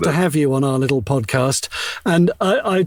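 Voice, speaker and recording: A man's voice amid noticeable background noise. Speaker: voice actor. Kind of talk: interview answer. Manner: casual, joking.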